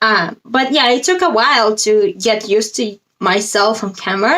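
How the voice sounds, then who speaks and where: A woman with a non-native accent speaks at a high pitch. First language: not English. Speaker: spiritual coach. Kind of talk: casual vlog monologue.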